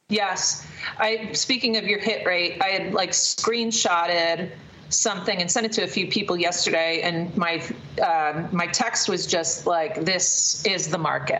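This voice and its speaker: Against noticeable background noise, a woman with a medium pitch speaks at a fairly slow pace, with very even loudness and fairly even intonation. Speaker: podcast host, recruiter. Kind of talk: casual chat.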